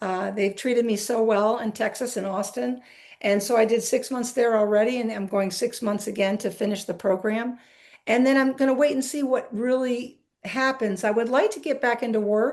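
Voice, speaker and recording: Over a quiet background, a woman speaks at a moderate pace in a normal speaking voice. Her pitch is fairly high and her intonation fairly even. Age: 60s. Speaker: retired basketball coach. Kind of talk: interview.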